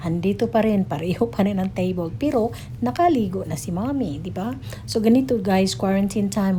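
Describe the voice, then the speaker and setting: Over noticeable background noise and audible room echo, a woman with a Filipino accent speaks at a medium pitch with very wide pitch swings. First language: Tagalog. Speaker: stay-at-home mom vlogger. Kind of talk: casual vlog chat, Taglish.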